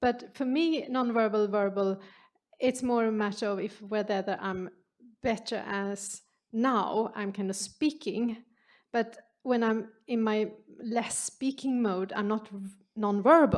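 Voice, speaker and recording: A woman talks with a Swedish accent at a fairly slow pace, her pitch fairly high with ordinary variation. The recording is very clean, with a silent background. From Sweden. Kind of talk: Q&A answer at symposium.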